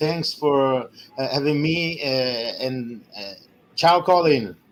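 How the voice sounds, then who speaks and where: Someone speaks at a very slow pace with an Italian accent and ordinary pitch variation. Noticeable background noise runs underneath. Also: man. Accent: Italian accent, non-native English. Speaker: sports commentator. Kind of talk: interview. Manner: halting.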